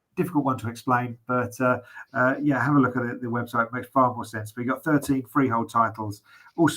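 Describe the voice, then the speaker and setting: Bright and sharp in tone, a man with a British accent speaks at a medium pitch and a fairly quick pace. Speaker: auctioneer describing property lots. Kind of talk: property auction lot presentation. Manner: conversational, hesitant with fillers.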